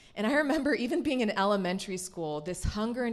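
In an American accent, a woman speaks at a medium pitch with lively intonation, and audible room echo surrounds her voice. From US South. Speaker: church speaker. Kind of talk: sermon.

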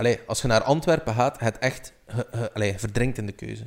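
Here a man speaks at a fairly quick pace. His pitch is medium. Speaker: podcast co-host. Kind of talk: casual chat.

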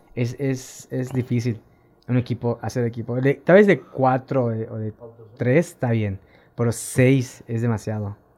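Speaking in a plain, everyday voice, a man at medium pitch goes at a fairly slow pace with ordinary pitch variation. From Quintana Roo, Mexico (Tulum). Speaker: amateur cyclist. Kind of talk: casual chat. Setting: studio.

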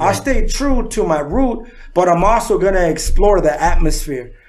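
A man with an American accent talks at a moderate pace, his pitch high and his intonation lively. Audible room echo surrounds his voice. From San Diego, California. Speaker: rapper. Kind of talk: casual chat.

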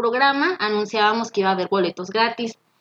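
A woman with a Mexican accent speaks with fairly high pitch. Her intonation is lively and the sound is dry and close with no echo. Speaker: former radio host. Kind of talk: casual chat. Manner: energetic.

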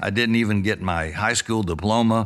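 Very clean recording, with a silent background. A man speaks with a bright, sharp tone at a fairly low pitch with ordinary pitch variation. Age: 70s. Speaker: pastor. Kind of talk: interview.

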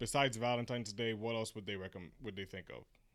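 An ordinary speaking voice with an American accent. The pitch varies in an ordinary way. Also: man. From US, Haitian heritage.

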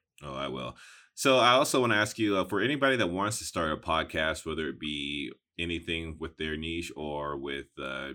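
On a very clean recording with a silent background, a man with a very deep, low pitch and vocal fry speaks at a moderate pace in a bright, sharp tone with lively intonation. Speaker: podcast host. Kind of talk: casual interview.

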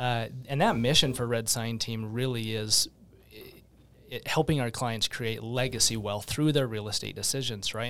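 A man with an American accent, a normal speaking voice, medium pitch, fairly even intonation and a fairly quick pace. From Utah, West Valley. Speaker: real estate team leader. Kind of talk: casual interview.

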